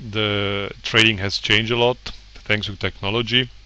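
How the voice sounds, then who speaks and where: A man's fairly low voice, flat and monotone at a moderate pace, with noticeable background noise. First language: not English. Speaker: trader and website owner. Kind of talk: tutorial presentation. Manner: informal, hesitant with fillers.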